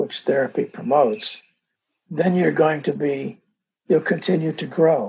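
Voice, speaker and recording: Speaking at a fairly slow pace, a man with a fairly high pitch leaves long, frequent pauses. His pitch variation is ordinary, and vocal fry is present. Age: 70s. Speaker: marriage and family therapist. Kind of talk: interview. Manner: halting.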